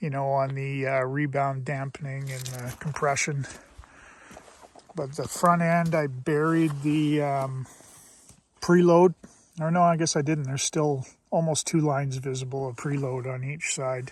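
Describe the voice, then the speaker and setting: Fairly high in pitch and somewhat breathy, a man with a Canadian accent speaks in a relaxed tone with monotone, flat intonation at a fairly slow pace, leaving long, frequent pauses. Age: 60s. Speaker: motorcycle vlogger. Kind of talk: casual vlog monologue. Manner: relaxed, conversational with fillers.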